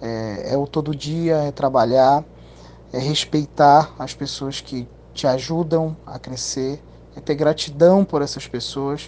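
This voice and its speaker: A man with a fairly high voice speaks very slowly. His loudness swings widely while his intonation stays fairly even. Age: 30s. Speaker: audiovisual production business owner. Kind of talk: interview. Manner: halting, many fillers and repetitions.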